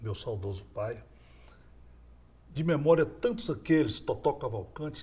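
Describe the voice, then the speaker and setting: The voice is dark and mellow, somewhat breathy, and moves at a moderate pace. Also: man. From Brazil, Goiás (Goiânia). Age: 60s. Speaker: former state governor. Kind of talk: interview.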